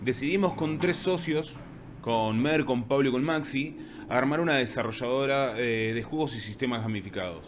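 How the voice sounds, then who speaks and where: Audible room echo surrounds a man speaking at a medium pitch in an Argentine accent. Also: ordinary pitch variation, moderate pace. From Argentina. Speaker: university lecturer and game designer. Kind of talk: conference talk.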